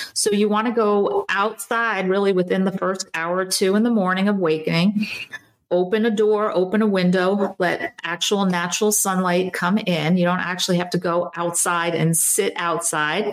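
A woman at medium pitch and a fairly slow pace, with fairly even intonation, over noticeable background noise. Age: 50s. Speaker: doctor. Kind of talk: interview.

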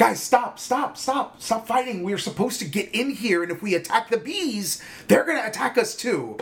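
A put-on character voice, fairly high in pitch, moves at a moderate pace against clear background noise. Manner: impatient, commanding.

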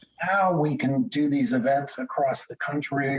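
An ordinary speaking voice with an American accent, ordinary pitch variation and a fairly slow pace. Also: man. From US Northeast, Connecticut. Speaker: telecom lawyer. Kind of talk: interview.

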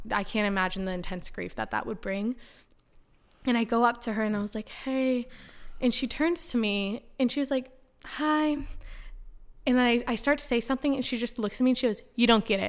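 A woman's high-pitched voice with an American accent, fairly quick with long, frequent pauses and ordinary pitch variation, on a very clean recording with a silent background. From US West Coast, San Diego. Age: 20s. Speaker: podcast guest sharing faith story. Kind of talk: casual interview, personal testimony.

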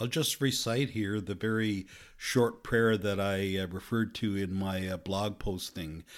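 In a very clean recording with a silent background, a man with a fairly low pitch speaks at a fairly slow pace with fairly even intonation. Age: 60s. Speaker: podcast host. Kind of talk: solo talk. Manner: halting.

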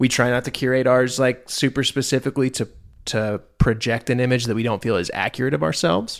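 At a fairly quick pace, a man talks with fairly even intonation. His is an unremarkable speaking voice. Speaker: podcast co-host. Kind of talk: casual chat. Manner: playful.

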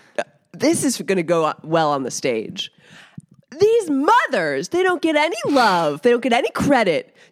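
Music plays behind a woman speaking at a moderate pace in a high pitch. Her pitch swings very widely, and the sound is dry and close with no echo. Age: 30s. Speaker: comedian. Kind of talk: casual chat. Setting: home basement.

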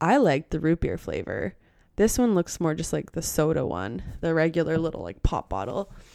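A woman with a fairly low pitch and a dark, mellow tone uses very wide pitch swings and vocal fry at a moderate pace, on a very clean recording with a silent background. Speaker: podcast host. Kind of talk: solo monologue, casual rambling. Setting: spare bedroom, headphones on. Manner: casual, filler-heavy.

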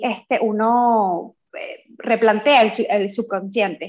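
A woman speaks in an unremarkable speaking voice. Her pitch is fairly high and her intonation fairly even. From Venezuela. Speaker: coaching course student. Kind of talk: interview testimony.

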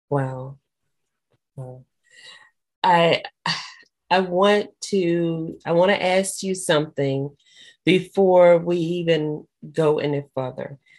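With a warm, upbeat tone, a woman speaks at a very slow pace in a fairly low voice, with ordinary pitch variation and long, frequent pauses. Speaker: podcast host. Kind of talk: interview, casual chat.

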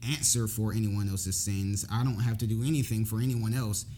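A man with a fairly low pitch talks in an American accent, with fairly even intonation and a dark, mellow, somewhat breathy tone. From Jacksonville, Florida. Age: 20s. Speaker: former law enforcement officer. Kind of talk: casual chat.

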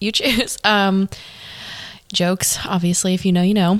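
In a plain, everyday voice, a woman speaks at a medium pitch and a moderate pace. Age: 20s. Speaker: podcast host. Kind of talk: casual chat.

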